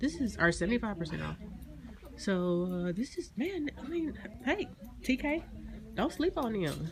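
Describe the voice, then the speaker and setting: A woman at a moderate pace, over noticeable background noise. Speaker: pharmacy technician vlogger. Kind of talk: casual vlog. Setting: in a car then stores. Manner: casual, chatty.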